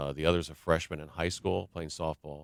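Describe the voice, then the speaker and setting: A man speaks at a fairly quick pace with an American accent. The sound is dry and close with no echo, on a very clean recording with a silent background. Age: 60s. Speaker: basketball play-by-play announcer. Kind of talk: radio interview. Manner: conversational, many fillers.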